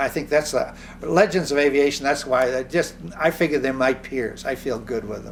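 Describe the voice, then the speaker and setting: Amid noticeable background noise, a man talks at a moderate pace with a fairly high pitch and ordinary pitch variation. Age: 80s+. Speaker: inventor and physician, aviator. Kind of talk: interview.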